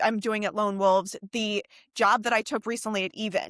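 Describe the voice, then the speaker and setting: At a fairly quick pace, a woman speaks with a fairly high pitch, a bright, sharp tone and ordinary pitch variation, on a very clean, dry, close recording with no echo and a silent background. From US Northeast, New York City (Manhattan). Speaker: music industry executive. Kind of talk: podcast interview. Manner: casual.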